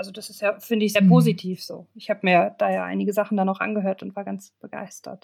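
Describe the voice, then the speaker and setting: A woman speaking at a very fast pace, with big swings in loudness. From northeastern Germany, Stralsund. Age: 20s. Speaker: master's student. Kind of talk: interview conversation.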